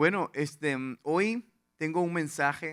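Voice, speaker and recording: The voice belongs to a man with a bright, sharp tone. His pitch varies in an ordinary way. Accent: slight Venezuelan. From Venezuela, Lara/Portuguesa plains. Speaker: pastor. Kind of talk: sermon. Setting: church with congregation.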